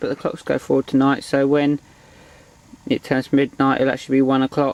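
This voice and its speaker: A man talks at a medium pitch and a fairly quick pace. The sound is dry and close, with no echo. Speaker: angler vlogger. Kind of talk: casual vlog commentary. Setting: outdoors at lakeside. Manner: talking quietly.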